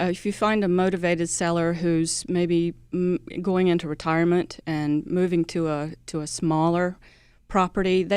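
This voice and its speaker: Speaking in an American accent, a woman with a fairly low pitch keeps a monotone, flat intonation at a fairly slow pace on a very clean recording with a silent background. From US South. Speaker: credit union executive. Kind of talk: radio interview.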